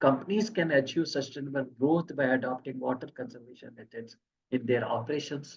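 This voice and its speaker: A man talks at a fairly quick pace in a fairly high, somewhat breathy voice. His pitch varies in an ordinary way. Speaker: engineering expert giving technical talk. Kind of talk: technical presentation. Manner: fast.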